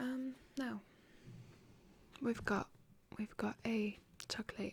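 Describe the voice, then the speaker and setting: A soft-spoken, somewhat breathy woman with a fairly high pitch, very slow pace and monotone, flat intonation. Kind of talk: ASMR roleplay job interview. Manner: soft-spoken, slow.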